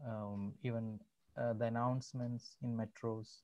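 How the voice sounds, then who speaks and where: A man speaks with a Keralan accent. His pace is fairly slow and his intonation monotone and flat. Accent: Indian English (Malayali). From Kerala, India. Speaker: salesman. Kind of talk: interview answer. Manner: hesitant, casual. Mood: amused storytelling. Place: home room. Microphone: video call.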